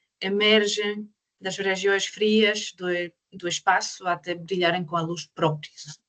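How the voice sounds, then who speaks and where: Recorded dry and close with no echo, a woman at a medium pitch speaks at a fairly slow pace with fairly even intonation. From Croatia. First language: Croatian (speaking Portuguese). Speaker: astrophysicist. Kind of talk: online lecture. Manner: halting.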